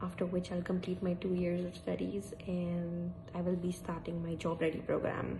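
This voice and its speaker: Noticeable background noise sits under a woman who talks at a moderate pace. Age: 30s. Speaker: vlogger and cookery student; international student vlogger. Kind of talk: casual vlog. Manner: hesitant, with fillers. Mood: animated, expressive. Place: home room. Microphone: phone near.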